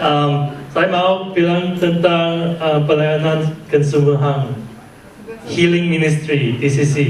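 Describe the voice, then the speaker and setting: A man's fairly high-pitched voice with a non-native accent, at a very slow pace, monotone and flat in intonation, very even in loudness, with noticeable background noise and audible room echo. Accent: non-native Indonesian. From Malaysia, then Australia for 20+ years. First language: English (speaking Indonesian). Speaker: church healing ministry leader. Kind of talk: testimony. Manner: slow, halting with many fillers.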